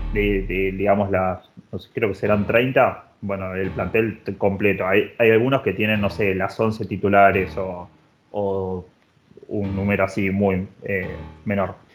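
Speaking in a Rioplatense accent, a man with a fairly low pitch talks at a fairly slow pace in a monotone, flat intonation. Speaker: podcast co-host. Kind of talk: casual chat.

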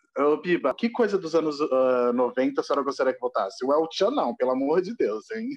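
Hardly any pauses break this fairly quick speech. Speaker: podcast co-host. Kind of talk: casual chat. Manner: animated.

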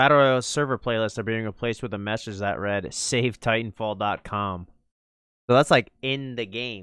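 A man's energetic voice at medium pitch, moderate pace and ordinary pitch variation, on a very clean recording with a silent background. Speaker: esports podcast host. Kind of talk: casual banter podcast chat. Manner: jokey, energetic.

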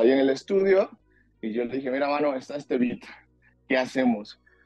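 A man speaks with a Mexican accent. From Mexico. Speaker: singer-songwriter and actor. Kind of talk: interview. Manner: halting, many fillers.

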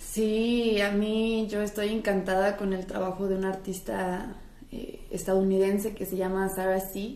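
Speaking at a fairly slow pace, a woman holds a medium pitch in a monotone, flat intonation with audible room echo. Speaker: art student. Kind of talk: casual chat.

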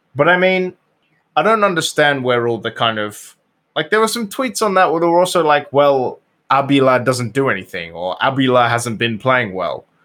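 A man with a British accent speaks at a moderate pace in a fairly high pitch, using very wide pitch swings. His tone is bright and sharp, in a very clean recording with a silent background. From Britain. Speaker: soccer podcast guest and gaming streamer. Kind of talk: casual chat.

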